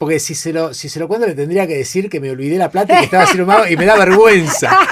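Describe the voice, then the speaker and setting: Very fast speech comes from a man with a Rioplatense accent and a high pitch. His loudness swings a great deal. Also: ordinary pitch variation. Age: 50s. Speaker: creativity and innovation expert. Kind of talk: podcast interview, casual storytelling. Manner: animated, many repetitions and fillers.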